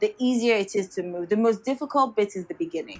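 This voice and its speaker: A Yoruba accent over noticeable background noise. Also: woman. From Nigeria. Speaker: architect and product designer. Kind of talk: interview. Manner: hesitant, many fillers.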